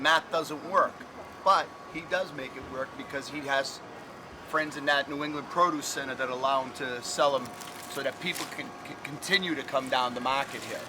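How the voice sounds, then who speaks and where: A man with an American accent talks at a moderate pace and a fairly high pitch. His loudness swings widely, and noticeable background noise is present. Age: 60s. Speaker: market vendor. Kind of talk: casual interview.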